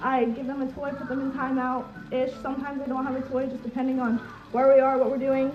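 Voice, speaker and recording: A woman talks loudly at a very fast pace with a high pitch. The room echo is audible. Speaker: social media creator. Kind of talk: live stream chat. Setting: live video stream. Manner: animated.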